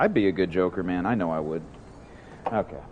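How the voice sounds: Lively intonation runs through a man's low voice. He speaks at a fairly quick pace.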